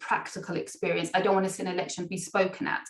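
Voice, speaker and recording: This woman talks very fast at a medium pitch. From England. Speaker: international education recruitment manager. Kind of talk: webinar presentation.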